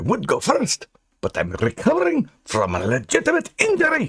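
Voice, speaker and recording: A man does a put-on character voice. He talks at a moderate pace. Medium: read story. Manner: gruff, stubborn.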